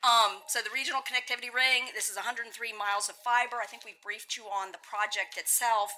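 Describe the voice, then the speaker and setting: Through noticeable background noise, a woman with a fairly high pitch speaks at a fairly quick pace with fairly even intonation. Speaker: deputy city manager. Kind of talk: formal council briefing.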